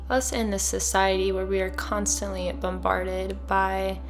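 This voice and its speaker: A soft-spoken woman with a calm tone over music in the background. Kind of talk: soft-spoken ASMR-style wellness talk with journaling prompts. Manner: soft-spoken, calm.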